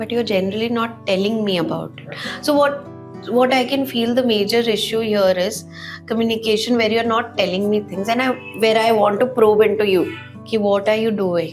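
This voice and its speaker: A woman speaks at a moderate pace with ordinary pitch variation. Audible room echo and music in the background surround her voice. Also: fairly high pitch for a woman. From Northeast India. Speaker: home baker. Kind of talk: casual chat.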